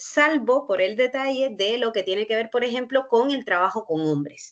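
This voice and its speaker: With a Cuban accent, a woman speaks at a moderate pace, her fairly high voice carrying lively intonation. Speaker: university researcher. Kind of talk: panel discussion. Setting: online workshop. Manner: halting, with frequent fillers.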